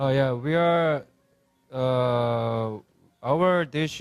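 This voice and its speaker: Speaking with a Korean accent, a man uses ordinary pitch variation at a medium pitch. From South Korea. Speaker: restaurant owner and chef. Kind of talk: interview. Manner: halting, many fillers.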